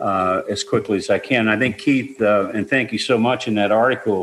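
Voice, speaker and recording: At a moderate pace, a man speaks at medium pitch with ordinary pitch variation over noticeable background noise. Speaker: singer-songwriter. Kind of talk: interview.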